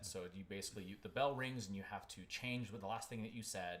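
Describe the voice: A man's fairly bright tone with ordinary pitch variation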